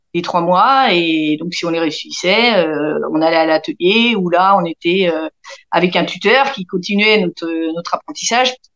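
Recorded with a dry, close sound and no echo, a woman with a plain, everyday voice talks at a moderate pace, her medium pitch carrying lively intonation. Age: 40s. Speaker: aircraft assembly workshop team leader. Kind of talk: interview.

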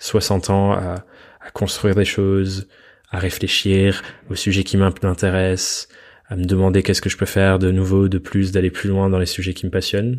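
A monotone voice with flat intonation, at a fairly slow pace. The recording is very clean, with a silent background. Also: man. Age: 20s. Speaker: podcast host, freelancer. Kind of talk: solo podcast monologue.

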